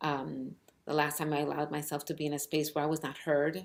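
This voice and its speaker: With a very deep, low pitch, a woman talks at a fairly quick pace in a flat, monotone intonation. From New York City, Cuban family. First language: Spanish. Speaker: author. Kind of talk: personal storytelling. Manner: halting, many fillers.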